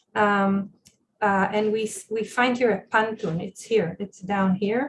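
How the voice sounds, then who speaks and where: The delivery is fairly slow and somewhat breathy. Intonation stays fairly even. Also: woman. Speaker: professor. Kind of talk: lecture. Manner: halting.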